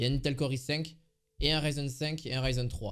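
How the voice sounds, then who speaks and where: In a very clean recording with a silent background, a man with a fairly high pitch talks at a fairly quick pace with fairly even intonation. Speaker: tech youtuber. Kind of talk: product review. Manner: fast; casual with many hesitations.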